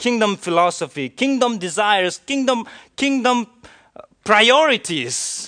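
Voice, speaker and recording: A raised, projected voice with a bright, sharp tone speaks at a fairly slow pace against a quiet background. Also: man, high pitch for a man, lively intonation. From India. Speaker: pastor. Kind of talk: sermon.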